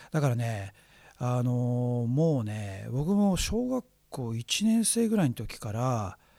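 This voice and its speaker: At a very slow pace, a man speaks at a medium pitch in a dark, mellow tone with lively intonation, in a very clean recording with a silent background. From Japan, Chiba (Yachiyo). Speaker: radio host, cultural analyst. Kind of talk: casual chat.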